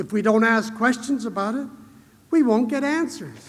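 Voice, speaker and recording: Audible room echo surrounds the speaker. A man talks at an extremely high pitch. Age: 60s. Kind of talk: conference keynote speech. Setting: stage with audience.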